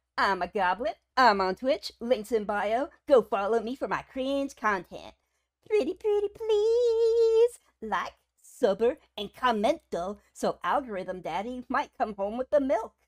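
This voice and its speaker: A put-on character voice, female-sounding and playful in tone, high-pitched and fairly slow. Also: very clean recording, silent background. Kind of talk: hyper casual streamer banter. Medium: virtual streamer. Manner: playful, silly, teasing.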